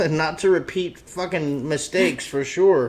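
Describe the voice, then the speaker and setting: Loud and at a fairly slow pace, a man speaks. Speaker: talk show host. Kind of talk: casual chat.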